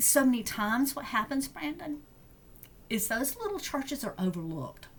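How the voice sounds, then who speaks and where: A woman's voice makes very wide pitch swings at a moderate pace, broken by long, frequent pauses. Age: 60s. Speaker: deacon. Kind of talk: podcast interview. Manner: halting.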